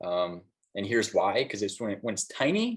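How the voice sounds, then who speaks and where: A man speaks at a moderate pace. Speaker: graphic designer giving a guest talk. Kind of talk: lecture. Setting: classroom with students. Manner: casual with fillers.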